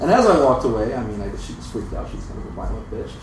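Noticeable noise around a man speaking with an American accent. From Europe, then US Midwest. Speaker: lawyer. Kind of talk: storytelling live. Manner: nervous.

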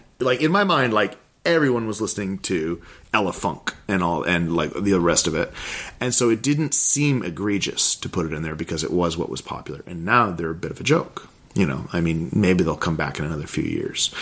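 There is noticeable background noise behind a man whose very deep, low voice carries lively intonation. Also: fairly quick pace. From Alaska. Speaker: mixtape maker. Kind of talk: casual chat.

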